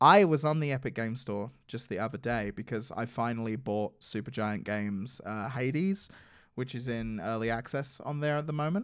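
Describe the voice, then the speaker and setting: Moderate pace and ordinary pitch variation in an English accent, in a very clean recording with a silent background. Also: man, medium pitch for a man. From England. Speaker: podcast co-host, live stream producer. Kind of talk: casual chat.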